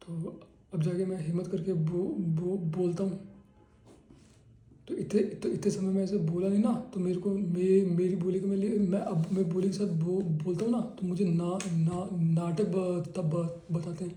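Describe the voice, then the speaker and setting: There is audible room echo as a man speaks at a fairly slow pace. His high voice has monotone, flat intonation. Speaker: patient. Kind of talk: clinical case-taking interview. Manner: halting, repeated syllables.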